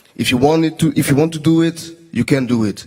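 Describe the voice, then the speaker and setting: A man at a moderate pace. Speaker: choreographer. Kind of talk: interview. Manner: halting, searching for words.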